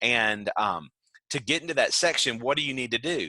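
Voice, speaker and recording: A loud man with a bright, sharp tone and lively intonation, in a dry, close sound with no echo. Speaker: adult education teacher. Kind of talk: online lecture. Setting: video call.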